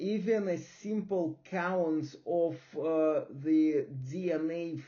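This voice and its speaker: A man's fairly high voice with a non-native accent and audible room echo. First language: not English. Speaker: science lecturer / channel host. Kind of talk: lecture. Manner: slow; halting.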